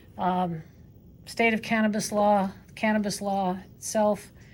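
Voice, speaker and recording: A woman's monotone, flat intonation is heard with audible room echo. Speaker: professor. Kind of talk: lecture. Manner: fast.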